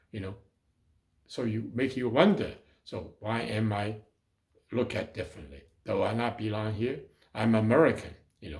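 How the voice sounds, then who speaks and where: A man with a Chinese accent speaks at a moderate pace and medium pitch, with vocal fry and ordinary pitch variation. His loudness swings widely, and he leaves long, frequent pauses. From China and Hong Kong. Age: 80s+. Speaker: city councilmember, former mayor. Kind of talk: talk. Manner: halting.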